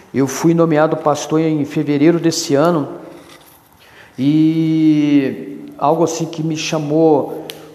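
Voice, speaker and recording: A man's fairly high-pitched, monotone, flat voice in audible room echo with noticeable background noise. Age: 50s. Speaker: youth pastor. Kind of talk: solo podcast monologue.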